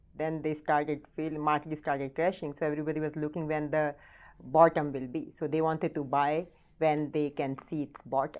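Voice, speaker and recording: A woman with an Indian accent speaks at a moderate pace in a very deep, low pitch with monotone, flat intonation, in a very clean recording with a silent background. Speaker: real estate team leader. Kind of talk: interview. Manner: halting.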